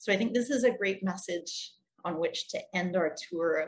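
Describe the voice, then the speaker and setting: A woman's voice sits at a medium pitch and is somewhat breathy. Her pitch varies in an ordinary way. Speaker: ecotourism social enterprise representative. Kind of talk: conference presentation. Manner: clear.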